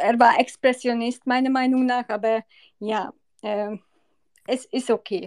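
This woman has a high pitch and fairly even intonation, with a Hungarian accent, recorded with a dry, close sound with no echo over a quiet background. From Hungary. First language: Hungarian (speaking German). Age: 40s. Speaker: listener reciting poems. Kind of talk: casual chat.

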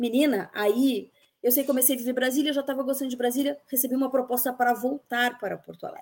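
A woman talks at a very fast pace in a high pitch, her intonation fairly even. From Rio Grande do Sul, Bento Gonçalves. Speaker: journalist. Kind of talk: casual interview conversation.

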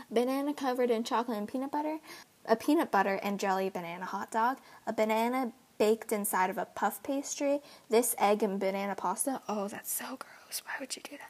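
A woman's fairly high-pitched voice at a fairly quick pace, with ordinary pitch variation. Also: big swings in loudness. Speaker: vlogger. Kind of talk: casual chat. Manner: fast.

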